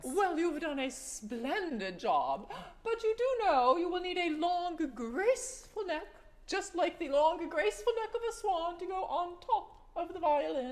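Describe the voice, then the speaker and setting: A woman does a squeaky, put-on character voice at an extremely high pitch with very wide pitch swings. Her pace is moderate. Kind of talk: children's stage storytelling. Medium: stage play. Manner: genteel, proper, old-fashioned phrasing.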